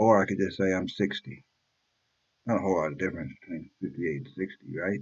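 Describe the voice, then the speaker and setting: With vocal fry and ordinary pitch variation, a man speaks at a very fast pace in a very deep, low voice. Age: 50s. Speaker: YouTube reaction vlogger. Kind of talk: casual vlog monologue.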